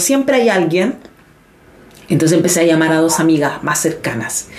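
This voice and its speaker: Her pitch swings very widely as this woman talks at a moderate pace. Noticeable background noise and audible room echo fill the recording. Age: 30s. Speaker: dancer and teacher. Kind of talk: casual interview.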